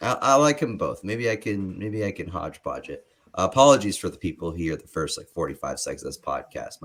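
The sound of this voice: A put-on character voice, hoarse and raspy, races along at a very fast pace. There are hardly any pauses. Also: man, medium pitch for a man.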